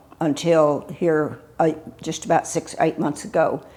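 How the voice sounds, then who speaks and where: With an American accent, a woman speaks at a fairly slow pace in a very deep, low pitch. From Texas, Houston area. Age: 80s+. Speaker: local elder, widow of a doctor and judge. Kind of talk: oral history interview. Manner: halting, many fillers.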